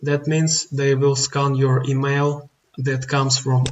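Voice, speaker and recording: At a fairly slow pace, a man with a non-native accent speaks at medium pitch with monotone, flat intonation. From outside the US. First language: not English. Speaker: online business tutorial youtuber. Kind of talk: screen-recorded tutorial. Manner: halting, many fillers.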